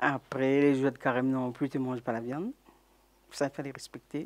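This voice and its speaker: The woman's pitch is very deep and low. Her delivery stays monotone and flat. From Réunion, Trois-Bassins. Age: 70s. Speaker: elderly interviewee sharing memories. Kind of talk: oral history testimony. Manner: halting.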